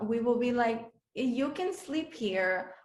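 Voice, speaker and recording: With audible room echo around her, a woman speaks very slowly with a slight Dominican accent. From Dominican Republic. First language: Spanish. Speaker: beauty pageant contestant. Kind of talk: interview. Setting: video call. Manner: halting, many fillers.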